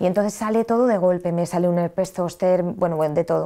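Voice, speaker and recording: Speaking with a Madrid accent, the voice has a dark, mellow tone and fairly even intonation. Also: woman. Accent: central Spanish (Madrid). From Madrid, Spain; Spain. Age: 30s. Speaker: train driver sharing faith story; interview guest. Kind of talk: testimony. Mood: earnest personal testimony. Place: studio. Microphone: lapel.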